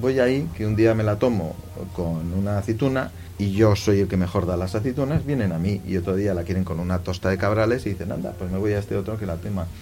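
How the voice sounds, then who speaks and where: A man with a fairly low pitch speaks at a very fast pace with ordinary pitch variation. Music plays in the background, and the room echo is audible. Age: 50s. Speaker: clothing shop manager. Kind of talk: interview.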